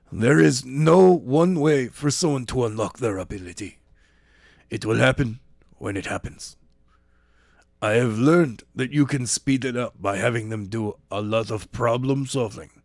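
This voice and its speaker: A man puts on a raspy character voice at medium pitch, with lively intonation and a moderate pace. The recording is very clean, with a silent background. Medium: read story.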